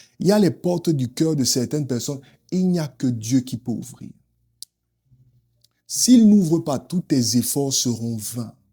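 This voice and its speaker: With an African accent, a man speaks fairly slowly in a fairly high, dark and mellow voice that is somewhat breathy. His intonation is lively, broken by long, frequent pauses. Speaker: preacher. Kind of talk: sermon.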